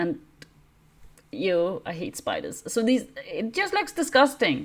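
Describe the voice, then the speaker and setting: Fairly slow speech from a woman with a non-native accent. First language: not English. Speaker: miniature wargaming YouTuber. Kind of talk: casual review; reading aloud. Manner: hesitant, many fillers.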